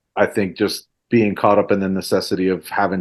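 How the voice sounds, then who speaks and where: A man with a Spanish accent talks at a fairly slow pace. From Central Florida, born in Mexico City. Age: 40s. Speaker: DJ and hip-hop artist. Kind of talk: casual chat.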